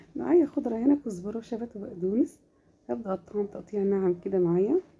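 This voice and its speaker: A woman's medium pitch with very wide swings, a dark, mellow tone and a fairly quick pace, in an Egyptian accent. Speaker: home cook / cooking channel host. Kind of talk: cooking tutorial. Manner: casual, warm, chatty.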